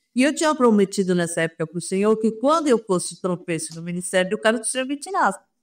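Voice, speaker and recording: A woman's fairly high voice moves through very wide pitch swings. The recording is very clean, with a silent background. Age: 70s. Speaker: pastor's wife and author. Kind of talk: interview testimony.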